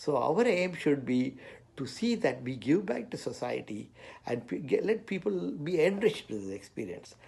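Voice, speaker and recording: Speaking at a moderate pace, a man shows vocal fry and very wide pitch swings. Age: 70s. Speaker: engineer. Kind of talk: personal talk to camera. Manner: halting, many fillers.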